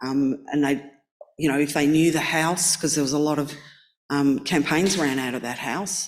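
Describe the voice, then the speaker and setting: With an Australian accent, a woman speaks at a very deep, low pitch with fairly even intonation and long, frequent pauses. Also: moderate pace. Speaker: artist panelist. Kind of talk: panel discussion.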